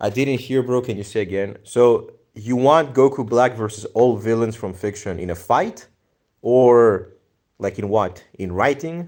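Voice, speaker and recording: A man with a Greek accent, medium pitch, ordinary pitch variation and a fairly slow pace. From Greece. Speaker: livestreamer, anime video editor. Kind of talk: casual livestream chat reading viewer comments. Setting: live stream.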